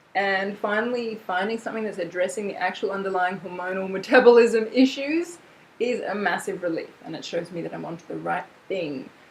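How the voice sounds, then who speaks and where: Noticeable background noise runs under the recording. A woman speaks at a fairly quick pace in an animated tone. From Australia. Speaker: vlogger. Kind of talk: casual vlog chat. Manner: chatty, animated.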